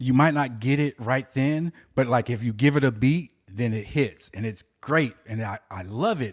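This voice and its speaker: A man with an unremarkable speaking voice talks at a medium pitch and moderate pace, with ordinary pitch variation and hardly any pauses. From Southern California. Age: 40s. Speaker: aspiring stand-up comedian. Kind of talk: casual chat.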